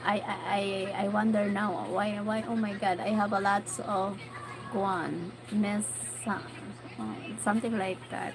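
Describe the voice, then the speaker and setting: Someone with a Filipino accent talks at a fairly slow pace with ordinary pitch variation, leaving long, frequent pauses amid audible room echo and noticeable background noise. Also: woman, medium pitch for a woman. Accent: Filipino (Bicolano) English. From Philippines, Bicol region. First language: Bicolano or Tagalog. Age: 40s. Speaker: vlogger. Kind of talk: livestream chat with viewers. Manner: animated.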